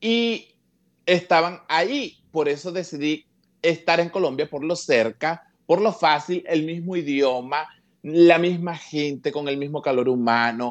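Against a quiet background, a man with a fairly high pitch talks at a fairly slow pace with ordinary pitch variation. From Venezuela, Petare (Caracas). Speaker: comedian. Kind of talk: interview. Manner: animated.

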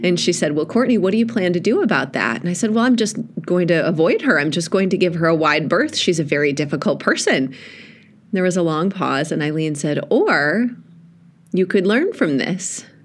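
A woman with a warm, animated tone and fairly low pitch talks amid audible room echo. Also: lively intonation, fairly quick pace. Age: 40s. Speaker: pastor. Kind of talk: podcast reflection on a sermon.

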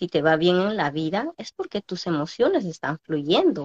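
Recorded with a dry, close sound and no echo, a woman talks at a fairly slow pace. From Peru, small Andean village. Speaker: entrepreneur. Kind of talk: interview on live stream.

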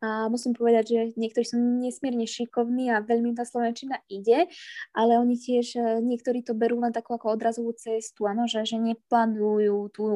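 A woman's fairly high voice, dark and mellow in tone, at a fairly quick pace, with a dry, close sound and no echo. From eastern Slovakia, Prešov. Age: 20s. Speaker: ballet dancer. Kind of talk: interview. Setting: online call.

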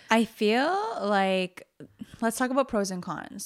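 A woman's voice at medium pitch against noticeable background noise. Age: 30s. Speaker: podcast co-host. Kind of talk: casual chat. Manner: animated.

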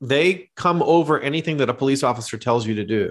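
This is a man with a fairly high pitch. His intonation is lively. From Canada. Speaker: teaching pastor and theologian. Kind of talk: casual interview conversation. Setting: remote call.

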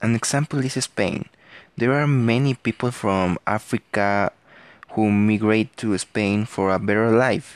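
Speaking fairly slowly with ordinary pitch variation and very even loudness, a man with a fairly low voice sounds dry and close, with no echo. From Mexico. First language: Spanish. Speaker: podcaster. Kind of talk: student presentation. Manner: halting.

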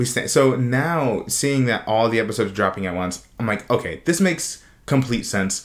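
Lively intonation at a moderate pace with hardly any pauses. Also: man, medium pitch for a man. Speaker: podcast co-host. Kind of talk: casual chat. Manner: clear enunciation.

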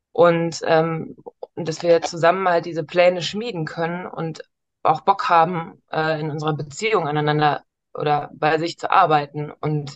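Speaking at a fairly slow pace, a woman uses a fairly low pitch with fairly even intonation. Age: 30s. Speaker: coaching client. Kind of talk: coaching session. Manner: halting, many fillers.

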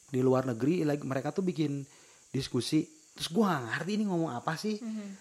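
A fairly high-pitched man's voice with lively intonation. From West Java, Indonesia. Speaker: podcast co-host. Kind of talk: casual chat.

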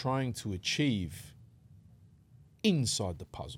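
Speaking very slowly, a man talks in an Australian accent. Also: very clean recording, silent background. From western Sydney, Australia. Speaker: rapper and events manager. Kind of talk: casual interview. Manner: calm.

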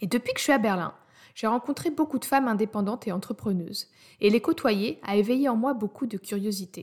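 A woman with a fairly high pitch speaks at a fairly quick pace, somewhat breathy and with lively intonation. The recording is very clean, with a silent background. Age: 30s. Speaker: podcast host, audio content specialist. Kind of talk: scripted monologue introducing podcast.

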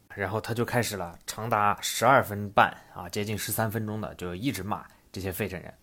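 A bright, sharp tone at a fairly quick pace, with big swings in loudness, on a very clean recording with a silent background. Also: man, fairly low pitch for a man. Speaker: podcast host. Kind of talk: casual podcast monologue explaining and retelling a comedy anecdote. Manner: animated, conversational storyteller, lively with filler words.

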